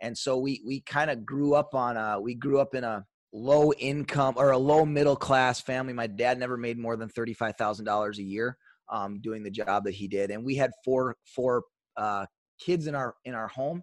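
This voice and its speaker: An Upper Midwest accent at a moderate pace with ordinary pitch variation, dry and close with no echo, over a quiet background. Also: man, medium pitch for a man. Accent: Upper Midwest American. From US Upper Midwest (Superior, Wisconsin / Duluth). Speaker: sales trainer. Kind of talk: casual chat.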